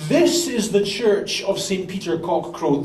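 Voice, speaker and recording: A man with a high-pitched voice talks at a moderate pace, with audible room echo and noticeable background noise. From Britain. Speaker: pastor. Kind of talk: sermon. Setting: church.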